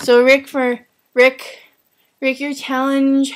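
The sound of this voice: A woman's high-pitched, slow speech with monotone, flat intonation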